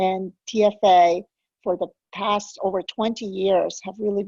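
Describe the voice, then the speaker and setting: This woman talks in a flat monotone with a dark, mellow tone. The sound is dry and close, with no echo. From immigrated to US as a child. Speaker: program director hosting a webinar. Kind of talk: webinar hosting. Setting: online webinar. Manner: conversational, with frequent fillers.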